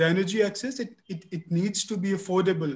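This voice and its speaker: This man talks at a fairly quick pace with a high pitch. His pitch varies in an ordinary way. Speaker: energy regulator official. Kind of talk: panel webinar discussion. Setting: video call, audio only.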